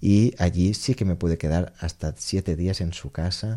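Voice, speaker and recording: The man's voice is very deep and low, with a dark, mellow tone and ordinary pitch variation. The recording is very clean, with a silent background. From Menorca, Spain. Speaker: jazz pianist. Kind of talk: interview. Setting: radio studio with audience.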